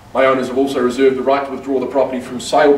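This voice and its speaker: A man speaks over noticeable background noise. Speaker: auctioneer. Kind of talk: real estate auction opening and terms read. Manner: confident, formal, welcoming.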